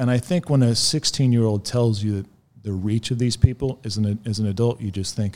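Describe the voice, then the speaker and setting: A man with a plain, everyday voice and an American accent talks at a fairly quick pace, with a medium pitch, ordinary pitch variation, and big swings in loudness. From US South, north central Florida. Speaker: former skinhead recounting his story. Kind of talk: interview testimony. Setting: in person at guest's home city.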